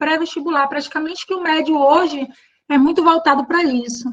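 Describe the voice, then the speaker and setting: A woman talks in a Bahian accent. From Bahia, Brazil. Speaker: teacher. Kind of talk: online workshop. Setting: live online stream.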